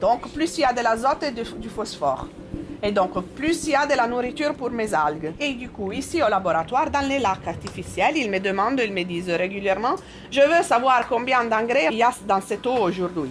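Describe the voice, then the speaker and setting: At a moderate pace, a woman with an Italian accent speaks in a fairly high pitch with very wide pitch swings over noticeable background noise. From Italy. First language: Italian (speaking French). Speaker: scientist. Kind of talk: explaining to children.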